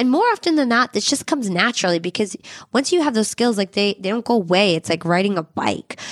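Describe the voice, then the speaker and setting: Very fast and fairly high-pitched, a woman speaks with lively intonation and very even loudness. The sound is dry and close, with no echo. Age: 30s. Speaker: podcast host. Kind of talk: scripted narration.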